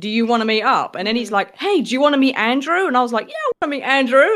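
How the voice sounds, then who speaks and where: A woman speaks in a British accent with a high pitch. Her intonation is lively. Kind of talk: casual chat.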